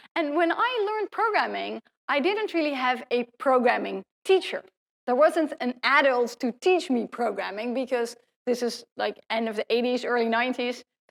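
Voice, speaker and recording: A high-pitched woman speaks with a Dutch accent and lively intonation. The sound is dry and close, with no echo. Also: moderate pace. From Netherlands. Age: 40s. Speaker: professor. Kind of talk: lecture.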